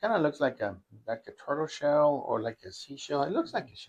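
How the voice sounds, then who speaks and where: A man with a Spanish accent speaks with lively intonation. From northern Mexico (Matamoros, Tamaulipas). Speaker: university faculty member. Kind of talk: casual chat. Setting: kitchen.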